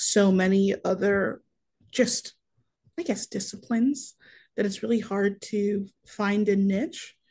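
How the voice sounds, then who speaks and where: A woman speaks at a fairly slow pace in a somewhat breathy voice. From northern Wisconsin suburbs. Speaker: university student and food pantry organizer; webinar panelist. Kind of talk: webinar panel discussion. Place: home room.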